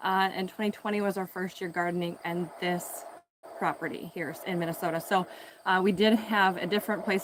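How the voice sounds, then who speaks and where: Mumbling at a moderate pace, a woman speaks at medium pitch with fairly even intonation. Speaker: home gardener and video creator. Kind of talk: casual live stream garden tour. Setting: outdoors in garden, live stream. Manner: casual with many fillers.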